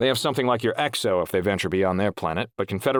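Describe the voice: The text comes across as plain reading aloud.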